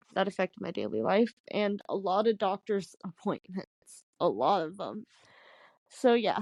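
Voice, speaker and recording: With vocal fry, a woman speaks at a fairly slow pace in a dry, close sound with no echo. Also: medium pitch for a woman, ordinary pitch variation. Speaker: podcast co-host. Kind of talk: casual chat. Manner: hard to understand.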